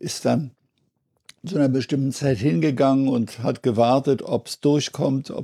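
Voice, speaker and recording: Here a man of medium pitch speaks with a dark, mellow tone. His pace is fairly slow, with ordinary pitch variation. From Berlin. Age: 80s+. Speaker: retired auxiliary bishop. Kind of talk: interview.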